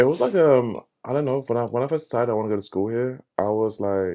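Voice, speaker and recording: Over a quiet background, a man with a London accent speaks with ordinary pitch variation. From England, Luton area. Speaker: photographer. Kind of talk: casual chat.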